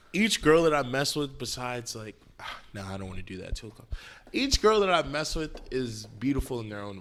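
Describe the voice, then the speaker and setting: At a fairly quick pace, a man with an American accent talks with very wide pitch swings and big swings in loudness. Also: medium pitch for a man. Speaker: vlogger. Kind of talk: casual chat.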